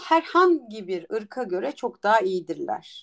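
This woman talks at a very slow pace. Her pitch swings very widely. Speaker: entrepreneur and startup mentor. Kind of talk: interview.

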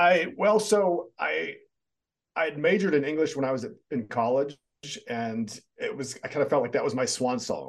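With an American accent, a man talks at a moderate pace in a fairly high pitch, his intonation lively and his speech broken by long, frequent pauses. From US, military bases in US and overseas. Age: 50s. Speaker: author and personal development speaker. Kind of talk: interview.

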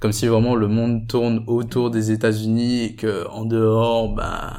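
Music plays in the background as a man speaks at a fairly slow pace. His medium-pitched voice has monotone, flat intonation. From Guadeloupe. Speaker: engineering student. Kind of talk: casual chat.

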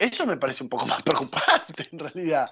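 The tone is animated as a man talks. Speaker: radio host. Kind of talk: casual chat. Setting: studio.

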